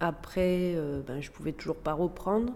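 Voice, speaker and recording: This woman's voice sits fairly low in pitch. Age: 40s. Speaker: former teacher sharing postpartum depression experience. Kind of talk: testimony. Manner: hesitant, with frequent fillers.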